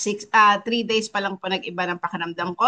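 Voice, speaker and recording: In an ordinary speaking voice, a woman talks at a fairly high pitch with ordinary pitch variation. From Philippines, Batangas. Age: 50s. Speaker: wellness coach co-host. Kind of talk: testimony. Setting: online live stream. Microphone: laptop.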